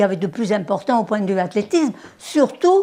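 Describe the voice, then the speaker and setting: A woman's fairly high voice at a moderate pace, with very wide pitch swings. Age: 80s+. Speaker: former Olympic sprinter. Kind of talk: interview. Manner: halting.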